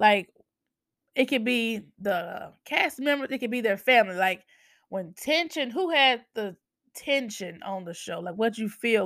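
A woman's plain, everyday voice, fairly high-pitched, with an American accent at a fairly slow pace, on a very clean recording with a silent background. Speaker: podcast host. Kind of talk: casual chat.

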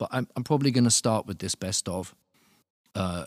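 A man with a southern English accent, lively intonation and a fairly quick pace, in a very clean, dry, close recording with a silent background and no echo. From Luton, England. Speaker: musician and producer. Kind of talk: casual interview. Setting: studio. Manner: halting, many repetitions.

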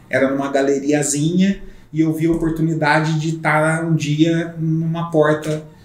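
Through noticeable background noise and audible room echo, a man talks with a fairly high pitch. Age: 40s. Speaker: real estate broker. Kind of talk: casual chat. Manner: halting.

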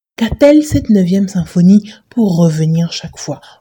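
In a dry, close recording with no echo, a woman speaks fairly slowly in a fairly low, dark, mellow and somewhat breathy voice. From Benin. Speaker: podcast host. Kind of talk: reading aloud.

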